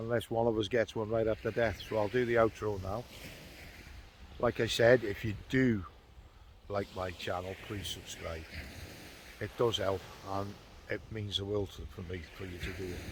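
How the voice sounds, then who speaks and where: Somewhat breathy and fairly low, a man's voice moves at a moderate pace with fairly even intonation and long, frequent pauses. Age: 60s. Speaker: fishing vlogger. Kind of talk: casual vlog talk to camera. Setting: outdoors on a beach.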